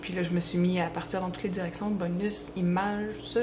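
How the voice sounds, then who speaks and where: A woman speaks at medium pitch with fairly even intonation. Audible room echo and noticeable background noise surround her voice. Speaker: fan fiction writer and page admin. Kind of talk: Q&A video, casual. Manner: hesitant, many fillers.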